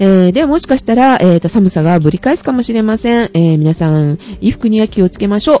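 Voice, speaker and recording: At a very fast pace, a woman of medium pitch speaks with very wide pitch swings. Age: 30s. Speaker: podcast co-host. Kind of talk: casual chat.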